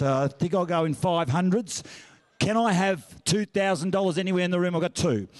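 Against a quiet background, a man with an Australian accent speaks in a high pitch. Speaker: auctioneer and master of ceremonies. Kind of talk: charity auction calling. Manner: fast, upbeat. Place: hall. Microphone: handheld.

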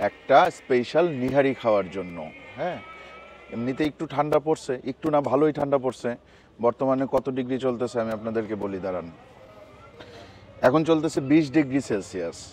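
A man speaks with lively intonation, the sound dry with no echo over light background noise. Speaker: food vlogger. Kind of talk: casual vlog chat. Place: street. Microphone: phone near.

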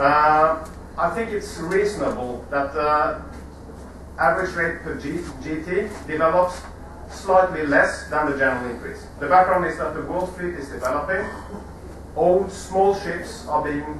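Light background noise and audible room echo surround a man's voice. He speaks with ordinary pitch variation and long, frequent pauses. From Norway. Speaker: marine insurance executive. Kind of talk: conference debate presentation. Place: hall. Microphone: camera far.

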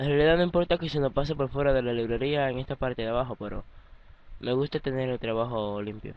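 Medium in pitch for a man, his voice moves at a very fast pace with ordinary pitch variation. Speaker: flight simulator tutorial youtuber. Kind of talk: screen-recorded software tutorial. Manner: casual, hesitant with fillers.

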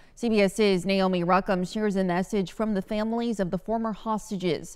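Against a quiet background, a woman talks at a moderate pace with fairly even intonation. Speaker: TV news anchor. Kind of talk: crisp news reading, measured anchor delivery. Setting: TV studio. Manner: brisk, even-paced newsreader cadence; light and laughing in banter. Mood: serious, measured. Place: studio. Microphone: lapel.

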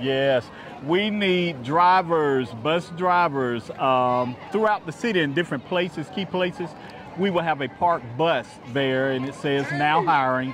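A man at a moderate pace, dry sound with no echo and noticeable background noise. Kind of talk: interview answer. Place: street. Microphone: lapel.

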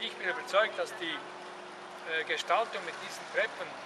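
Noticeable background noise surrounds a man's voice. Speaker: guide explaining the town. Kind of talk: guided tour talk. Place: street. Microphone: camera far.

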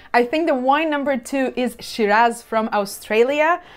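Ordinary pitch variation marks the speech, which keeps a moderate pace. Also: woman. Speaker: wine reviewer. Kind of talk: casual tasting commentary. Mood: warm, enthusiastic. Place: home room. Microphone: lapel.

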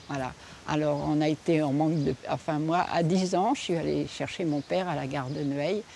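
Over light background noise, a woman speaks at a moderate pace in a very deep, low pitch with ordinary pitch variation, and the sound is dry with no echo. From France, Deux-Sèvres; France. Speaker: local resident; local resident storyteller. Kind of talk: oral storytelling. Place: garden. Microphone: lapel.

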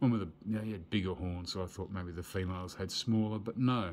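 The speaker talks at a moderate pace with fairly even intonation. Light background noise is audible. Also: man. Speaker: toy collector reviewer. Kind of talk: casual toy review commentary. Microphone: phone near.

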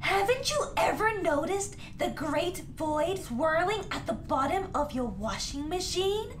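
A cartoonish character voice talks at a fairly slow pace over loud background noise. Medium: puppet. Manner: dramatic, grandiose.

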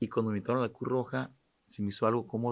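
A man's voice sits at a medium pitch, with the background quiet. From Sinaloa, Mexico. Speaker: businessman and charity president; podcast guest. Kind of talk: casual interview chat. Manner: halting, repetitive. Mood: calm, reflective. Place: studio. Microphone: studio mic.

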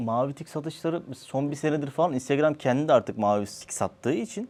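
A man talks in a plain, everyday voice, keeping a moderate pace and ordinary pitch variation. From Turkey. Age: 30s. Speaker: social media content creator. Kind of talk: casual interview.

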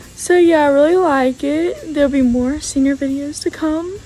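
Over light background noise, a woman with a high pitch and ordinary pitch variation speaks at a fairly slow pace in a dry sound with no echo. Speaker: high school senior vlogger. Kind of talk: casual vlog chat. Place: garage. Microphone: phone near.

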